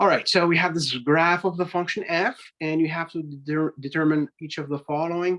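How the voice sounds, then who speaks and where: A moderate pace against a quiet background. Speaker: math instructor. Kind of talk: lecture. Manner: hesitant, many fillers.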